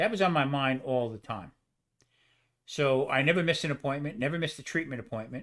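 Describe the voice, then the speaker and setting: In a very clean recording with a silent background, a man with a New Jersey accent and a fairly high pitch rattles along at a very fast pace with ordinary pitch variation. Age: 70s. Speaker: cancer survivor, cook. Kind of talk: casual chat.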